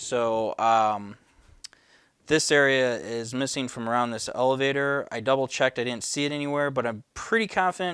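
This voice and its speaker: On a very clean recording with a silent background, the speaker talks at a fairly quick pace with ordinary pitch variation. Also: man. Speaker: scale model builder. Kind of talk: product review. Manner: casual, filler-heavy.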